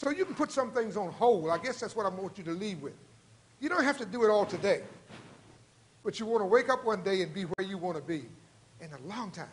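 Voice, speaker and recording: A man at a high pitch with an animated tone and lively intonation, talking at a fairly quick pace broken by long, frequent pauses. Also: big swings in loudness. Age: 70s. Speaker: lecturer and former executive giving talk to students. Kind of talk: lecture with audience Q&A. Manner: rambling.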